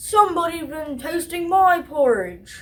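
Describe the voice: A put-on character voice sits at an extremely high pitch. The pace is moderate.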